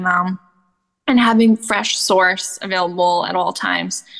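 A woman talks with fairly even intonation in a plain, everyday voice. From Canada. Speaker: goat milk soap maker and rancher. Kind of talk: interview.

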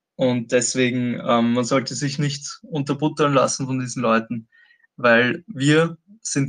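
This man's voice sits at a medium pitch and moves fairly slowly. His intonation stays fairly even. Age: 20s. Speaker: activist and protest organizer. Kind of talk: interview. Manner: hesitant, many filler sounds.

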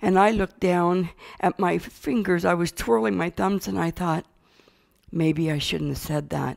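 Recorded very cleanly against a silent background, with a dry, close sound and no echo, a woman with an ordinary speaking voice talks at a fairly slow pace with a fairly low pitch and lively intonation. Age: 60s. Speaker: church member giving testimony. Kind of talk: testimony.

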